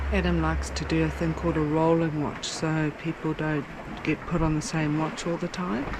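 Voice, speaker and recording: Noticeable background noise surrounds a woman who is whispering. She keeps a moderate pace. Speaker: sailing vlogger. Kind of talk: casual vlog narration. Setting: on a sailboat at night.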